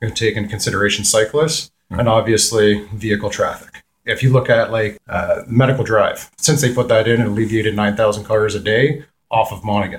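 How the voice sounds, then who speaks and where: Speaking fairly quickly with a Canadian accent, a man at a medium pitch sounds somewhat breathy and keeps a fairly even intonation. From Peterborough, Ontario, Canada. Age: 30s. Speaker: municipal election candidate. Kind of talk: radio interview. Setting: radio studio.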